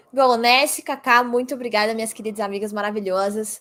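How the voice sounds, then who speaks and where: A woman speaks in an animated tone on a very clean recording with a silent background. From Brazil. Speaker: esports caster. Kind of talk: casual interview chat. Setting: livestream.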